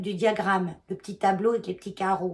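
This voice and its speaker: Monotone, flat intonation in a somewhat breathy voice. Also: woman. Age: 50s. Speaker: knitting vlogger. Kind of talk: casual vlog talk. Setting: at home, in her bedroom. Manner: hesitant, many fillers.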